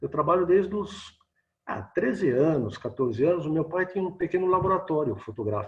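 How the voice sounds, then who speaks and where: Somewhat breathy and lively in intonation, a man talks at a moderate pace. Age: 60s. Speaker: photojournalist and photography teacher. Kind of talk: casual interview chat. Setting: video call.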